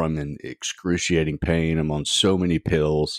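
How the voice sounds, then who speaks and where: In a dry, close sound with no echo, a man speaks with a very deep, low pitch. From Oklahoma, US. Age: 60s. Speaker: triathlete and spinal injury survivor. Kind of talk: interview, personal story. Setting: remote call.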